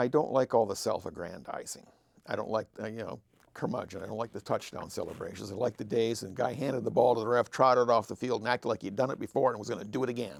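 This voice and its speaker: With an American accent, a man races along at a very fast pace, his pitch varying in an ordinary way. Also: medium pitch for a man. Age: 60s. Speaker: longtime sports fan. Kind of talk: casual chat.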